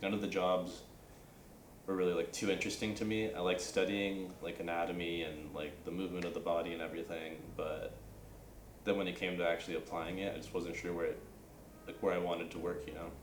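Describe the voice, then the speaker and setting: At a very fast pace, a man with a Californian accent speaks in a very deep, low pitch and fairly even intonation, with audible room echo and noticeable background noise. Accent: Californian American English. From Northern California. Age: 20s. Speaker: university student. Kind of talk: casual interview. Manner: casual, many fillers like um and like.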